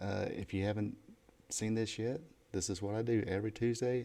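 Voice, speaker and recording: A quiet man with a Southern US accent, a dark, mellow tone and a moderate pace. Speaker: YouTube wrestling trivia host. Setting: hotel room, echoey. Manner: talking quietly.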